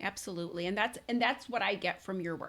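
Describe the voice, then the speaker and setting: A woman with a plain, everyday voice, medium in pitch, with lively intonation, on a very clean recording with a silent background. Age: 40s. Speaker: podcast host and parent coach. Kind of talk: interview.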